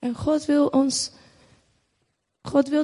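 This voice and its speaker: Against a quiet background, a woman with a dark, mellow tone speaks at a very slow pace. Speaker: church member. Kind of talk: testimony. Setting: church with audience.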